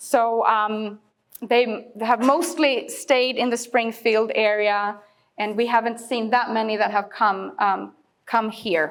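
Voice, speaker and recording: With a Swedish accent, a woman speaks at a very slow pace and a fairly high pitch. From Sweden, Stockholm. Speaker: immigrant services worker. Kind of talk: audience Q&A after a talk.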